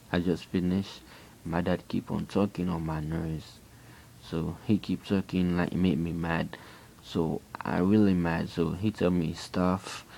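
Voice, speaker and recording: A fairly slow pace in a Haitian accent. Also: man. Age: 20s. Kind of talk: personal testimony. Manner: halting, repeating himself.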